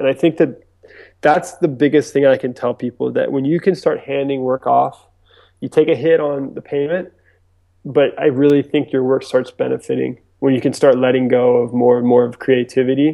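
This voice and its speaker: Here is a man with an ordinary speaking voice at a medium pitch. His pace is moderate and his intonation fairly even. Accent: American. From US East Coast, mainly Virginia Beach. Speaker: filmmaker and director. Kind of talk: interview. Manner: casual, many fillers.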